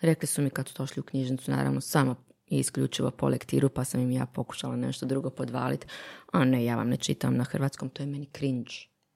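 The recording sounds dry and close, without any echo. A woman speaks very fast. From Bosnia. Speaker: literary translator. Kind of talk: casual chat.

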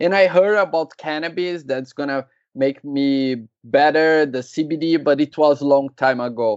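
Speaking at a fairly slow pace, a man with a Brazilian accent has a fairly high pitch and ordinary pitch variation. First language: Portuguese. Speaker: cannabis entrepreneur. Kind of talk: casual interview. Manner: halting, hesitant.

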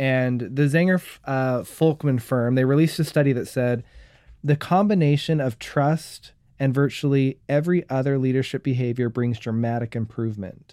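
A man with a plain, everyday voice at medium pitch, ordinary pitch variation and a moderate pace, on a very clean recording with a silent background. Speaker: co-host interviewer. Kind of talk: casual conversational podcast recording. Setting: studio.

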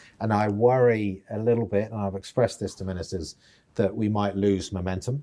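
A man with a British accent speaks in a fairly low pitch with a dark, mellow tone. His pace is fairly quick and his intonation fairly even. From United Kingdom. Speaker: outgoing financial regulator chief executive. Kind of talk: interview. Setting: boardroom.

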